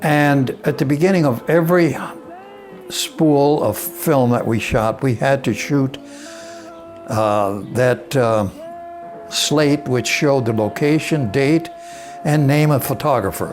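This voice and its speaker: Over background music, a man with an American accent speaks very slowly at a fairly high pitch. His loudness stays very even and his pitch varies an ordinary amount. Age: 80s+. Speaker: former army combat film photographer narrating his own wartime footage. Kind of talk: reminiscing voice-over narration of old film footage. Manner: slow, hesitant, with filler words.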